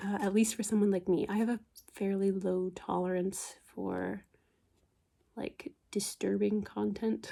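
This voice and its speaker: Soft-spoken and relaxed, a woman talks at a fairly slow pace. Her voice is medium in pitch with a dark, mellow tone. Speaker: book ASMR creator. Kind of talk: casual talk to camera, book review. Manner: soft-spoken, relaxed.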